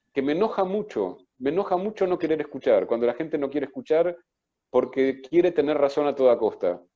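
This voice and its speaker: Pitched fairly high, a man speaks at a fairly quick pace with lively intonation. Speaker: psychoanalyst and author. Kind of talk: book presentation talk.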